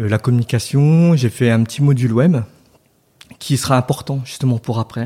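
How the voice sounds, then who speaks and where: In a dry, close sound with no echo, a man speaks at a moderate pace in a dark, mellow, somewhat breathy voice of medium pitch, with ordinary pitch variation and long, frequent pauses. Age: 30s. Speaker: entrepreneur, co-founder of a soap shop. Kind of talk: interview conversation. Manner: hesitant, many fillers and repetitions.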